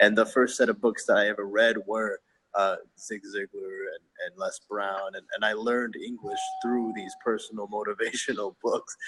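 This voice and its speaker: At a moderate pace, a man with a Filipino accent shows big swings in loudness, recorded dry and close with no echo. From Philippines. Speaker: inspirational hip hop artist. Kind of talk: casual chat. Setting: video call from a hotel lobby.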